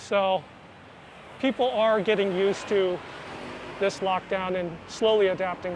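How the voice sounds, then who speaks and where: With an American accent, the speaker keeps fairly even intonation at a fairly slow pace, leaving long, frequent pauses. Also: man, high pitch for a man. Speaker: travel vlogger. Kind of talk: casual vlog narration.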